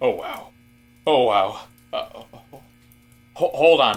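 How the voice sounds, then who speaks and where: Putting on a character voice, a man talks at a fairly slow pace with music in the background. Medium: audio drama. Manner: polite, easily flustered.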